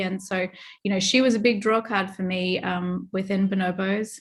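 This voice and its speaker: At a moderate pace, a woman with an Australian accent talks at a medium pitch in a very clean recording with a silent background. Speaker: retail merchandising executive. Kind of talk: interview.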